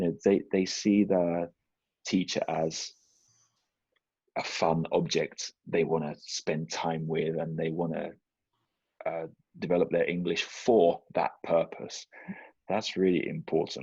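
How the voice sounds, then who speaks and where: Very slow speech from a man, broken by long, frequent pauses. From southern England. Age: 40s. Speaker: English teacher and children's author. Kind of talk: interview conversation.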